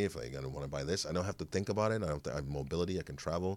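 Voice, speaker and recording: A man with an American accent speaks at a very fast pace with vocal fry. His tone is animated. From Chicago. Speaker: actor. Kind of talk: casual interview chat. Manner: animated, joking.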